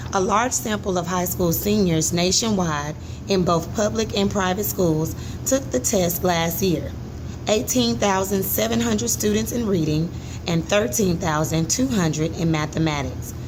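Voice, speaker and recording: Over noticeable background noise, a woman talks at a moderate pace. Her loudness stays very even while her pitch swings very widely. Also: fairly low pitch for a woman. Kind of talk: article read-aloud, instructional. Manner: expressive, varied intonation and volume.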